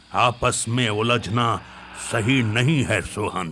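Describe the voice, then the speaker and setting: Faint music plays in the background as a man uses a put-on character voice at a very slow pace. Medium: audio drama. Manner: calm, measured, authoritative.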